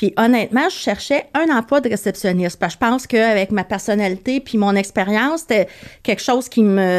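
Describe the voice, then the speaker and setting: Her unremarkable speaking voice is fairly high in pitch, and this woman talks at a fairly quick pace with ordinary pitch variation and very even loudness. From Quebec, Montreal. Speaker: veterinary receptionist, former flight attendant. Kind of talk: casual chat.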